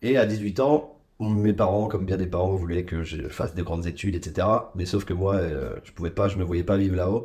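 This man has a very deep, low pitch and a dark, mellow, somewhat breathy tone, speaking at a moderate pace with big swings in loudness. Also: ordinary pitch variation. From Ardennes, north-eastern France. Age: 30s. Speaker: podcast guest. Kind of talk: casual chat.

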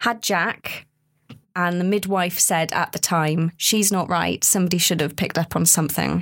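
An unremarkable speaking voice from a woman at a fairly low pitch, with a moderate pace and fairly even intonation. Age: 30s. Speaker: research participant, mother with postnatal depression. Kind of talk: casual chat.

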